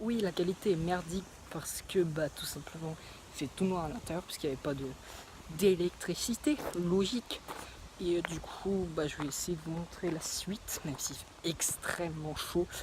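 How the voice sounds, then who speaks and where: The voice is soft-spoken. Noticeable background noise sits beneath it. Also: moderate pace. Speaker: travel vlogger. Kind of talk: casual vlog tour. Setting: outdoors and inside museum houses. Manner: hesitant, many fillers; speaking softly indoors.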